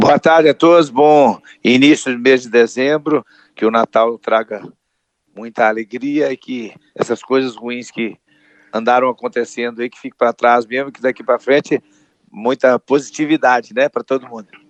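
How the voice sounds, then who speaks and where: Speaking at a moderate pace with fairly even intonation and a medium pitch, a man has a normal speaking voice, though his loudness swings widely. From Brazil, Minas Gerais. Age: 60s. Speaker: comedian. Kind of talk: interview.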